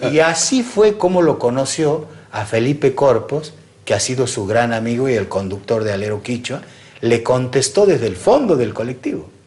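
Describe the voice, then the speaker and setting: Somewhat breathy and of medium pitch, a man talks at a moderate pace with lively intonation. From Argentina, Santiago del Estero (Salavina). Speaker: radio host. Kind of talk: interview.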